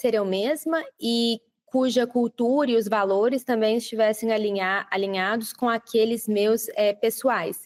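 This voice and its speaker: Speaking with a Brazilian accent, a woman keeps a fairly high pitch, a moderate pace and fairly even intonation. The recording is dry and close with no echo. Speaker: project manager. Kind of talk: interview. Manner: frequent filler hesitations.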